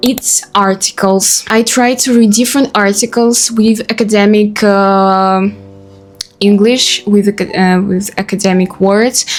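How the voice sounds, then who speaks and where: With a Russian accent and music in the background, a woman speaks at medium pitch and a fairly slow pace, her intonation fairly even and her loudness very even. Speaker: vlogger. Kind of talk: casual talk to camera. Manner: halting, many fillers.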